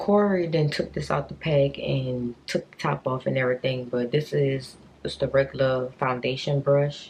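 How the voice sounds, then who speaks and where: Over noticeable background noise, a woman speaks with a very deep, low pitch. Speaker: beauty vlogger. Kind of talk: casual chat.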